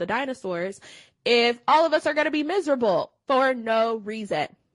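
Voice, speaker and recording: A woman with an American accent and an ordinary speaking voice, lively intonation at a moderate pace against a quiet background. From Cleveland, Ohio. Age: 30s. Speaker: wellness educator and personal trainer. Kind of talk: interview.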